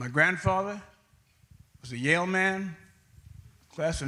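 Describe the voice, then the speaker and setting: A high-pitched man with ordinary pitch variation, in audible room echo. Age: 80s+. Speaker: audience member. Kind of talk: audience comment.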